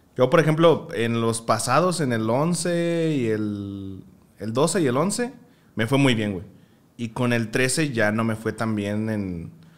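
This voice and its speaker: A man talks at a very slow pace. His medium-pitched voice has lively intonation. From Mexico, Michoacán. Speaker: podcast guest, streamer. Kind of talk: casual chat. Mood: relaxed, animated, smiling. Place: home room. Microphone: studio mic.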